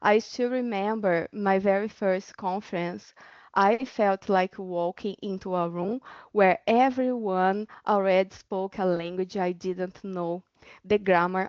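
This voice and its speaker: A Portuguese accent with fairly even intonation at a fairly slow pace. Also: woman. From Brazil. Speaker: doctoral researcher. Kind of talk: webinar panel talk.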